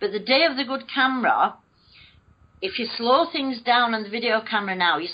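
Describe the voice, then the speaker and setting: In a northern English accent, a woman speaks with a fairly high pitch and lively intonation. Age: 50s. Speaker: alleged alien abductee. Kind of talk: interview.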